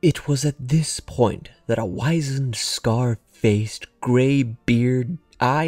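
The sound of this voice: An unforced reading voice, pitch moving by an ordinary amount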